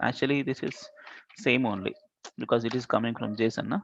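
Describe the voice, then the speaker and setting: A man's normal speaking voice at medium pitch, moving at a fairly quick pace. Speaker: programming instructor. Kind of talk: live coding class.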